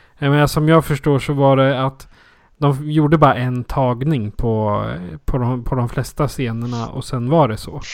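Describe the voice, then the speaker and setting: At a fairly slow pace, a man speaks in a normal speaking voice at medium pitch with fairly even intonation. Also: very clean recording, silent background. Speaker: podcast host. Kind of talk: casual chat.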